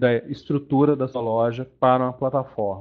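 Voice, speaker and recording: A man with a medium pitch talks at a fairly slow pace. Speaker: webinar presenter, payments developer. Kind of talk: webinar presentation. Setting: online webinar. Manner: deliberately slow; casual, filler-heavy.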